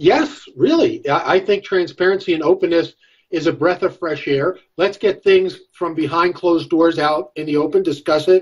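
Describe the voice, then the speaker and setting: A man with a high pitch speaks in an American accent at a moderate pace. His intonation stays fairly even against a quiet background. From New York. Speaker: political strategist and professor; professor. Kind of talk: political panel discussion. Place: home room. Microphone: video call.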